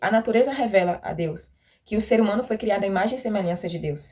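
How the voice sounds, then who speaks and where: At a moderate pace, a woman with an ordinary speaking voice and a fairly high pitch talks with ordinary pitch variation. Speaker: youth Bible lesson teacher. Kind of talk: Bible study teaching.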